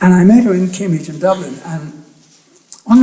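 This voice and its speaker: A man speaks fairly quickly in a high pitch with ordinary pitch variation, and the room echo is audible. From Ireland, Athy, County Kildare; later England. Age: 70s. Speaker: photographer. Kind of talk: public talk. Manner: halting, with many restarts.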